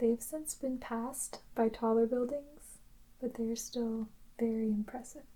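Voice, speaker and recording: The speaker is soft-spoken, with a calm tone. Words come at a very slow pace. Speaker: ASMR creator. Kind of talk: soft-spoken descriptive narration. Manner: slow, calm.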